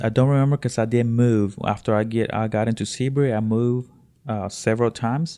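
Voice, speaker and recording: In a Spanish accent, a man speaks with a dark, mellow tone. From Honduras. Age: 30s. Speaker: immigrant sharing life story. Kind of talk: interview. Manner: halting, many fillers and repetitions.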